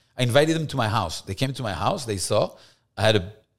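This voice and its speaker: A French accent comes through over lively intonation. The recording is very clean, with a silent background. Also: man. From France, Paris. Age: young. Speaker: rabbi. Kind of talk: casual chat.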